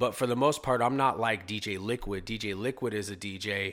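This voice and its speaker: This man has an American accent and a fairly low pitch, and his bright, sharp tone with ordinary pitch variation comes through a very clean recording with a silent background. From California Central Valley (Modesto). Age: 40s. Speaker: DJ and tile worker. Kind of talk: casual interview.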